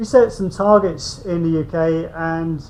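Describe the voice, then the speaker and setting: Audible room echo colors the voice of a man who speaks in a high pitch with ordinary pitch variation. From UK. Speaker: invited speaker on construction policy. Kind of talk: conference presentation.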